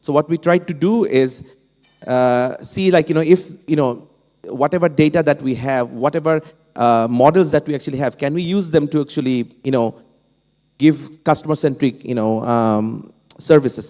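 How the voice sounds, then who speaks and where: A man with a Bengali accent talks at a moderate pace. His pitch is fairly high and his tone dark and mellow. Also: ordinary pitch variation. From Bangladesh. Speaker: professor, panel speaker. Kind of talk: panel discussion. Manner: halting, many fillers and restarts.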